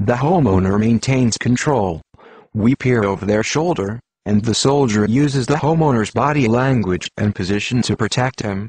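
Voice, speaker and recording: A plain, everyday voice from a man at a moderate pace, with very even loudness and ordinary pitch variation, in a dry, close sound with no echo. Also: medium pitch for a man. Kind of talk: conspiracy news narration.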